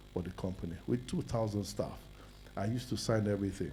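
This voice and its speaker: At a very fast pace, the voice carries vocal fry, a dark, mellow tone and ordinary pitch variation. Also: man. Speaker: businessman, summit speaker. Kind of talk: personal testimony talk.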